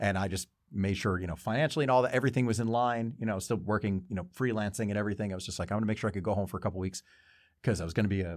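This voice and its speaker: A man with an American accent talks very fast at a fairly low pitch, with ordinary pitch variation. The recording is very clean, with a silent background. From New Jersey. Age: 40s. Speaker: podcast host. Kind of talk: casual chat. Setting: studio. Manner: animated.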